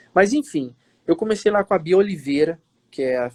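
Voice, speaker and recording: A man with an ordinary speaking voice talks at a moderate pace, the sound dry and close with no echo. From Minas Gerais, Brazil (Matias Barbosa, near Juiz de Fora). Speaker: actor. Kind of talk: interview on a live stream. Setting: live video stream.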